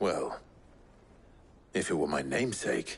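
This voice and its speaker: A man's put-on character voice, raspy and very deep in pitch, at a moderate pace. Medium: video game.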